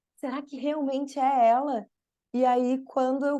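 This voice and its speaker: A dark, mellow tone at a moderate pace, with a Brazilian accent. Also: woman. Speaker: spiritual therapist and teacher. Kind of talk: podcast interview.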